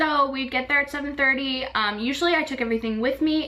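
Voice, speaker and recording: A woman speaks over noticeable background noise. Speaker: vlogger, former theme park housekeeper. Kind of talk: casual vlog talk. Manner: fast.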